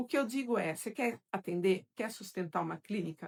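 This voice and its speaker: At a moderate pace, a woman speaks in a plain, everyday voice with a medium pitch. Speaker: psychoanalyst and course teacher. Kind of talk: live stream Q&A with viewers.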